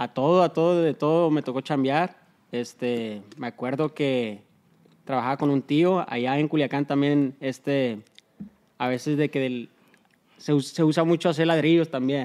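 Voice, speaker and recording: This man's pitch is fairly high, with ordinary variation. He talks at a fairly slow pace. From Los Angeles, US. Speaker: business partner. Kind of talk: casual interview. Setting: in a shop. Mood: relaxed reminiscing. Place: studio. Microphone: studio mic.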